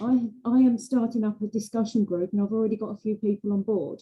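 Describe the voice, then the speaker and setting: At a fairly quick pace, a woman speaks in a dark, mellow, somewhat breathy tone with monotone, flat intonation. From UK-born, raised in Australia. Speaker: meeting participant, discussion group organizer. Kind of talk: group video meeting discussion. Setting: Zoom video call.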